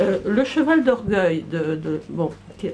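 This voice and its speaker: A woman's voice with very wide pitch swings and noticeable background noise. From Brittany, France. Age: 60s. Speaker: audience member. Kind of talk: public debate. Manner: halting.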